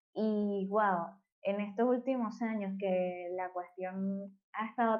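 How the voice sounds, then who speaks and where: A woman with a Venezuelan accent at medium pitch. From Venezuela, Maracay. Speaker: electronic musician and architect. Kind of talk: casual interview conversation.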